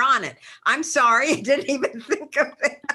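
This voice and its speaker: A woman speaks in a raised, projected voice with a bright, sharp tone and lively intonation. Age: 70s. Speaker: webinar attendee. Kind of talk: audience question. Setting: video call.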